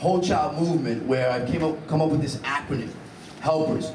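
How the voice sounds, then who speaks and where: Moderate pace and fairly even intonation in a New Jersey accent, with audible room echo and noticeable background noise. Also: man. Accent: New Jersey American. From Hoboken, New Jersey. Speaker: school board candidate. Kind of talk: candidate forum statement.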